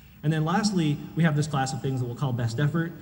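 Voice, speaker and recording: Audible room echo surrounds the speaker. He is a man with ordinary pitch variation. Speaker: conference speaker, software engineer. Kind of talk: conference talk.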